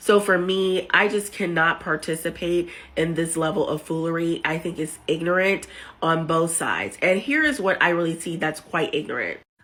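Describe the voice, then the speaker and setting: Her intonation fairly even, a woman speaks at a moderate pace in a fairly low pitch. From United States. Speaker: social media commentator. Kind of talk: opinion video monologue.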